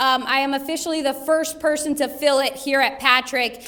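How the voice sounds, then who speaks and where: A loud, high-pitched woman's voice with noticeable background noise. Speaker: military senior enlisted leader. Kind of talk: speech at luncheon.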